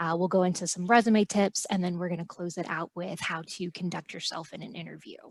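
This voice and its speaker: A woman with a plain, everyday voice, medium in pitch, fairly even in intonation, at a fairly quick pace, on a very clean recording with a silent background. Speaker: college staff presenter. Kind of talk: presentation.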